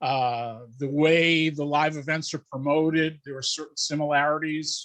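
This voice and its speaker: The background is quiet as a man speaks at a moderate pace. His fairly high pitch stays in a monotone, flat intonation. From New England. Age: 60s. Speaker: wrestling promoter. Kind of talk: podcast interview. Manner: halting.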